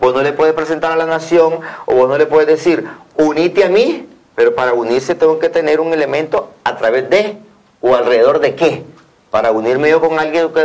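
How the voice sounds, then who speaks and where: With a normal speaking voice, a man talks at a fairly quick pace and fairly high pitch, with ordinary pitch variation. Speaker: opposition party official. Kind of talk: TV interview.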